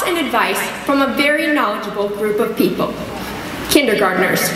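A woman's raised, projected voice at a moderate pace, with noticeable background noise and audible room echo. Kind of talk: graduation speech. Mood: warm, lightly humorous. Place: hall. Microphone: podium.

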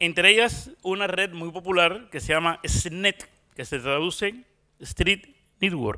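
A high-pitched man speaks at a very slow pace in a bright, sharp tone, with ordinary pitch variation and big swings in loudness. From Cuba. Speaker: journalist. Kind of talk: conference talk. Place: stage. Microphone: handheld.

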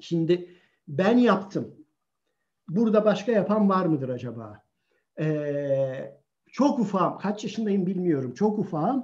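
With a quiet background behind him, this man delivers his words at a very slow pace. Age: 60s. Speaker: author and sociologist. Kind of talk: online talk on child self-confidence. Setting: video call live stream. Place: home room. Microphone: video call.

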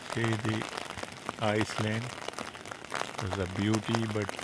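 A man talks at a fairly slow pace over loud background noise. The sound is dry with no echo. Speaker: travel vlogger. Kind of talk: casual vlog commentary. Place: waterside. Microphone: phone near.

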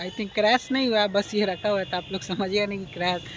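This man has a high pitch and a fairly bright tone, speaking at a moderate pace. The sound is dry and close, with no echo.

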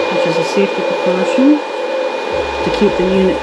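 A woman speaks at a fairly slow pace. Loud background noise sits behind her. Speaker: product reviewer. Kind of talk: casual product demo. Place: home room. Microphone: phone near.

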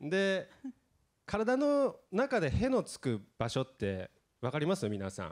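A man talks very slowly while the background stays quiet. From Aomori, Japan. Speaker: actor. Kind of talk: press event talk. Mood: cheerful, playful. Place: hall. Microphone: handheld.

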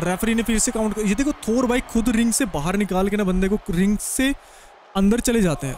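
A man speaks at a high pitch in an animated tone. Noticeable background noise sits behind him. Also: ordinary pitch variation, moderate pace. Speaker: gaming commentator. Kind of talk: live game commentary.

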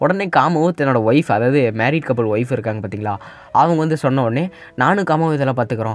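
The intonation is lively. It is an unremarkable speaking voice. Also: man. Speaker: anime story narrator. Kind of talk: casual anime episode recap to viewers.

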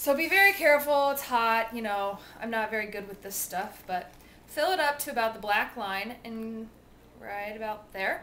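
A woman talks at a moderate pace with lively intonation and big swings in loudness. Light background noise can be heard. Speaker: home cooking demonstrator. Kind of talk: tutorial. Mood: cheerful and chatty. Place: kitchen. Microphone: phone near.

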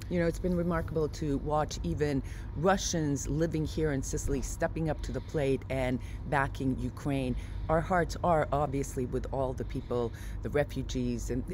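A woman at a moderate pace, dry sound with no echo, noticeable background noise. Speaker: travel vlogger. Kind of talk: casual vlog chat. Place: street. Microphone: phone near.

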